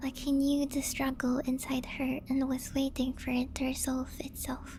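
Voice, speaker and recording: Music plays behind a woman speaking at a high pitch. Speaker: vtuber narrator reading creepypasta. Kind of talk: horror story narration.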